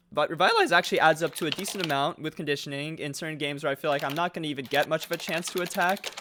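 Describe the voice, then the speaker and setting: Talking at a very fast pace with hardly any pauses, a man with a fairly high pitch is heard over noticeable background noise. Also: fairly even intonation. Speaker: gaming podcast host. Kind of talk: casual chat.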